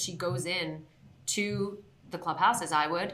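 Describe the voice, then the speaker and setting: A woman's fairly low-pitched voice amid audible room echo. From Southern California, born in Queens, New York. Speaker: sports television host. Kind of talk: interview.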